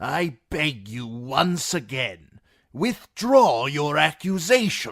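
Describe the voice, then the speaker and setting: A man's put-on character voice, fairly high in pitch, with very wide pitch swings and a very slow pace. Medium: read story. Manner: solemn, pleading.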